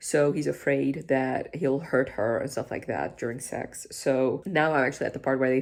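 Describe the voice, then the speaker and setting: Speaking at a moderate pace with a non-native accent, the voice shows vocal fry and hardly any pauses. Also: woman. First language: not English. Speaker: book vlogger. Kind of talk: reading vlog review. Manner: casual, conversational.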